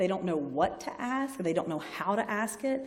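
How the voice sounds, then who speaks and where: A woman speaks with lively intonation in a Southern US accent. Noticeable background noise and audible room echo surround her voice. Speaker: health sciences librarian. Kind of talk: lecture. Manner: conversational, informal.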